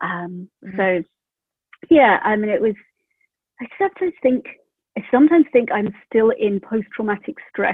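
Pausing long and often, a woman with a British accent speaks at a fairly high pitch with lively intonation. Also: moderate pace. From UK. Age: 40s. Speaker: mother sharing birth story. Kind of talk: interview. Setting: remote call.

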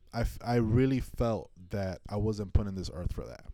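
A man with an American accent, medium pitch, dark, mellow tone and lively intonation. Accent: New York Dominican American. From Washington Heights, New York. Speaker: artist and entrepreneur. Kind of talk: casual interview chat.

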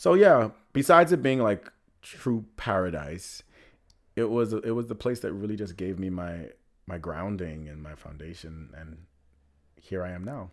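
Very clean and silent in the background, this recording has a man speaking at a very deep, low pitch with long, frequent pauses. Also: lively intonation, moderate pace. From Bahamas, Nassau. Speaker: actor and writer. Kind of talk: casual chat.

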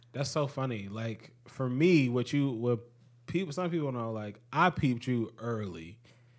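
Lively intonation marks a man's unremarkable speaking voice at a medium pitch. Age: 20s. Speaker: podcast host. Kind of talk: casual chat.

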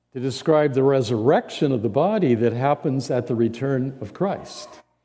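With a Midwestern American accent, a man speaks at medium pitch and a moderate pace in a dark, mellow tone. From US Midwest (central Indiana). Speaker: interim pastor. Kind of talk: sermon. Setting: church. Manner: halting, frequent fillers and repeated words.

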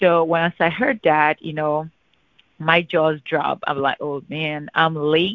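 At a fairly slow pace, a woman talks in an unremarkable speaking voice with a fairly low pitch. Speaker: insurance agent. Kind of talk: casual phone conversation. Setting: phone call.

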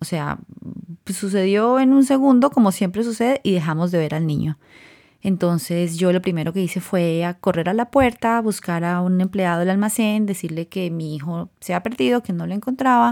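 An ordinary speaking voice at a moderate pace, lively intonation, on a very clean recording with a silent background. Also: woman, medium pitch for a woman. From Colombia. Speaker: podcast host. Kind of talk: personal monologue.

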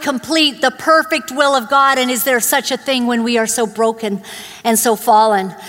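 A woman talks with a Canadian accent. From born in Uganda, grew up in Canada (Vancouver area). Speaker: guest preacher. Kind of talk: sermon. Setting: church.

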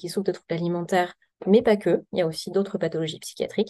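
A woman speaks in a normal speaking voice at a medium pitch. Her pitch varies in an ordinary way. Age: 30s. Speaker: psychiatrist. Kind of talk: podcast interview.

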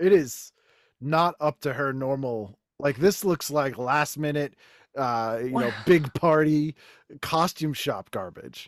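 Speaking with an American accent, a man talks at a fairly slow pace with a fairly high pitch and ordinary pitch variation. The sound is dry and close with no echo, in a very clean recording with a silent background. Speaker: podcaster, guest. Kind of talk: casual chat.

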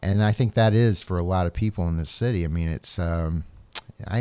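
On a very clean recording with a silent background, a man with an American accent speaks at a fairly quick pace in a very deep, low, dark and mellow voice with ordinary pitch variation. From US South, Atlanta suburbs. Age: 40s. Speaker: author and photographer. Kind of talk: casual interview.

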